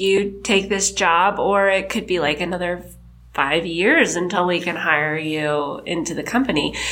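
With audible room echo around it, the talking moves at a fairly slow pace. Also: woman. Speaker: creative director. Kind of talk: casual interview. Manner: halting.

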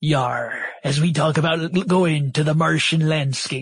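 Put-on character voice from a man, moderate in pace and fairly high-pitched. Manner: exaggerated, comic.

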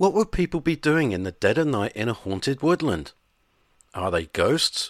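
Pitched fairly high, a man's voice shows vocal fry and very wide pitch swings at a moderate pace. The sound is dry and close with no echo, on a very clean recording with a silent background. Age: 50s. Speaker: podcast host. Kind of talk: scripted narration.

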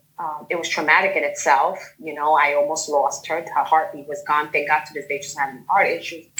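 A woman with a Bronx accent at a moderate pace and ordinary pitch variation. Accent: New York, Bronx. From New York, the Bronx. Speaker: guest, self-love group member. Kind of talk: personal testimony. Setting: video call.

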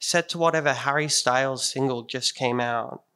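The pace here is moderate. Pitch variation is ordinary. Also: man. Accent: Australian. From Sydney, Australia. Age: 20s. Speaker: storyteller. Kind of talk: storytelling performance. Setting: stage with audience.

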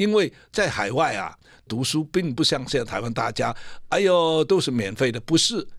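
A man's medium-pitched voice comes at a moderate pace on a very clean recording with a silent background. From Vietnam. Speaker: music producer and songwriter. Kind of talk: interview. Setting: studio.

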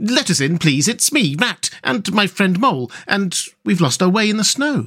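This man puts on a character voice, pitched high with big swings up and down. His tone is fairly bright and his pace is moderate.

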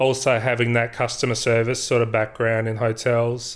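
Speech in an Australian accent comes at a moderate pace. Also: man. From South Australia, rural southeast. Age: 40s. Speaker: IT executive. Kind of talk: interview.

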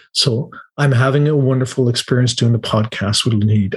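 Speaking with an Irish accent, a man keeps a moderate pace and fairly even intonation. His voice is somewhat breathy and sits at a medium pitch. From Ireland. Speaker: motivational speaker and event presenter. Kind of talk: podcast interview. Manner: talkative.

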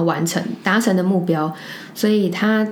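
Audible room echo and noticeable background noise surround a woman whose voice sits at a medium pitch. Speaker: podcast co-host. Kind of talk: casual chat.

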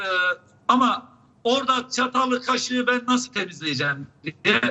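A man's extremely high voice at a moderate pace, with ordinary pitch variation. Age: 70s. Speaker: public health professor. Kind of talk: live TV interview. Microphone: unstable connection, drops out.

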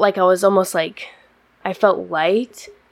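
This woman has an unremarkable speaking voice with an American accent and a medium pitch. She talks at a moderate pace with fairly even intonation. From Washington State, US (Yakima). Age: 20s. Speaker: college wrestler. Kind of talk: interview.

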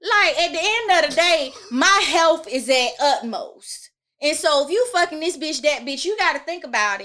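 Raised and projected, a bright, sharp voice in an American accent moves at a moderate pace with very wide pitch swings. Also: woman, extremely high pitch for a woman. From US South, Georgia (Augusta). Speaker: podcast guest. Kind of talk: casual chat.

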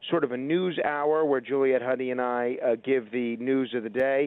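At a moderate pace, a man talks in an ordinary speaking voice, his pitch varying in an ordinary way. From New York. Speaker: radio host. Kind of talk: casual interview.

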